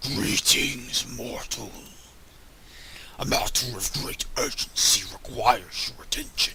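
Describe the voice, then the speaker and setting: Using a put-on character voice, a raspy man speaks at a fairly slow pace with long, frequent pauses over light background noise. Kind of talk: dramatic fantasy game dialogue reading. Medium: solo performance. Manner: formal, grave, archaic.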